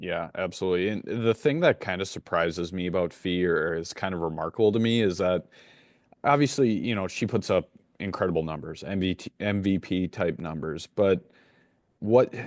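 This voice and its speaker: Set against a quiet background in a dry, close recording with no echo, a man speaks at a moderate pace with a very deep, low pitch and ordinary pitch variation. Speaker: podcast host. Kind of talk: sports podcast host talk.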